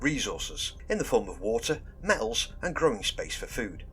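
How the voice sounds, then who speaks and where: With music playing in the background, the speaker talks at a fairly quick pace. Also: man. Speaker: YouTube hobby guide host. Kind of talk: casual tutorial monologue.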